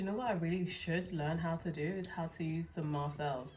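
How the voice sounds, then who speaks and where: A woman with a London accent speaks at a fairly quick pace, her pitch fairly low with ordinary variation. Music plays behind her, and the room echo is audible. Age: 20s. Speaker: hair stylist and hair brand owner. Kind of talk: tutorial. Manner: casual, chatty.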